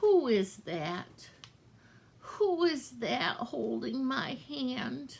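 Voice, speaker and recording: A put-on character voice, female-sounding, at a fairly high pitch and a very slow pace. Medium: read story. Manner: faint, resigned.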